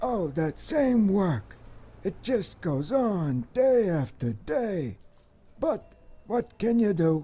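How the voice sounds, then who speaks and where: In a put-on character voice with a middle pitch, the speaker rumbles at a very slow pace while the pitch swings very widely. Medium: video game. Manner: resigned, grumbling, repeats the same catchphrase.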